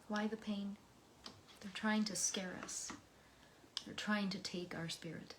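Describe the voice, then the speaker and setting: An American accent at a very slow pace, with monotone, flat intonation, long, frequent pauses and noticeable background noise. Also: woman. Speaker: poetry reader. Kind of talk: reading aloud; personal reflection. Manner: emotional.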